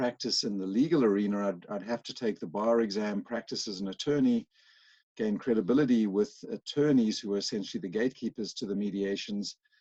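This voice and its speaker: With a South African accent, a man talks at a fairly quick pace in a fairly low pitch, his tone dark and mellow, the sound dry and close with no echo against a quiet background. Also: ordinary pitch variation. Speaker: workplace mediator. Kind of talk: interview.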